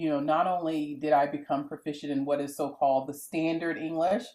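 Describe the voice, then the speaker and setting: A woman with an American accent speaks in a very deep, low voice with a dark, mellow tone. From US South, coastal South Carolina (Gullah Geechee). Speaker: professor. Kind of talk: video interview. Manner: animated.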